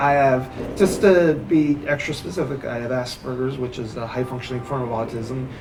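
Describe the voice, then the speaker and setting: A man speaks at a medium pitch with ordinary pitch variation, his voice carrying audible room echo over noticeable background noise. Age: 30s. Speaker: stand-up comedian. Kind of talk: interview. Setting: coffee shop. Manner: halting.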